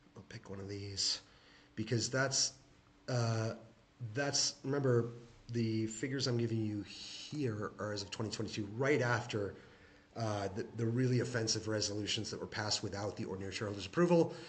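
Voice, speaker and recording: A man with a medium pitch talks fairly quickly, his pitch varying in an ordinary way, while noticeable background noise is present. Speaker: shareholder commentator. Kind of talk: screen-share tutorial. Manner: fast; halting, many fillers.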